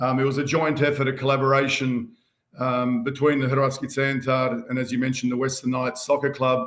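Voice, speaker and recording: Speaking fairly quickly in a monotone, flat delivery, a man talks with an Australian accent. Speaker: band member and community organiser. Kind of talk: casual chat. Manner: hesitant with many fillers.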